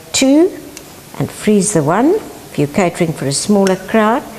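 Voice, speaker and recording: Noticeable background noise sits behind a woman with a South African accent whose pitch swings very widely. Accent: South African (Afrikaans). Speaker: home cook, housewife. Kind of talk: cooking lesson to camera.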